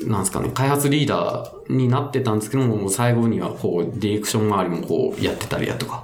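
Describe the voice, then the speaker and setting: Over noticeable background noise and audible room echo, a man with a medium pitch speaks at a fairly quick pace with ordinary pitch variation. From Fukuoka, Itoshima. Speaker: game developer. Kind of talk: casual podcast interview.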